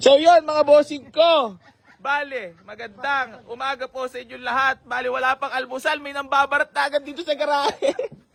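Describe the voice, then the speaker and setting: Animated in tone, a man speaks at an extremely high pitch with big swings in loudness. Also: moderate pace. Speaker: used car dealer and vlogger. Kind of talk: vlog address to viewers; casual haggling chat. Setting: garage, outdoors.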